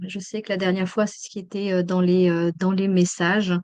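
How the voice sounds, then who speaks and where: A woman with a slight Swiss French accent, against a quiet background. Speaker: emergency psychologist and trainer. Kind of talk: webinar lecture. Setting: online webinar. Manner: hesitant, many fillers.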